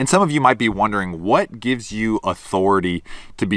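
Against a quiet background, a man with a fairly low pitch speaks in a bright, sharp tone, the sound dry and free of echo. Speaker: fishing content creator. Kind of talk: casual vlog chat. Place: open country.

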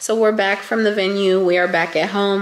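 A woman at a medium pitch speaks in a raspy, fairly bright tone with little pitch movement, and audible room echo surrounds her.

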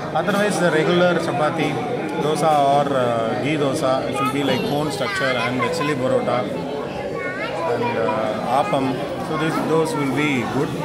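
Crowd noise fills the background as a man speaks at a moderate pace. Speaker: food vlogger. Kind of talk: casual vlog chat. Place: cafe. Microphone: phone near.

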